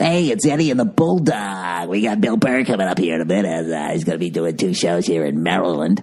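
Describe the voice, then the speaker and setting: A low-pitched, put-on character voice at a fairly quick pace. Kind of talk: cheesy, upbeat broadcaster. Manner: mocking, exaggerated.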